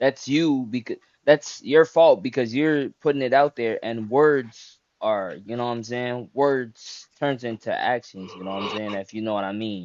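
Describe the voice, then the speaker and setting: A man's plain, everyday voice at medium pitch, moderate pace, ordinary pitch variation and big swings in loudness. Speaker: interviewee giving advice. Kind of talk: casual chat.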